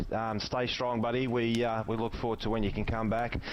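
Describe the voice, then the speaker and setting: Speaking with an Australian accent, a man moves at a fairly quick pace in a medium pitch. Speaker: sim racing co-commentator. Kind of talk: live commentary. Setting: voice chat online broadcast. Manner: loud.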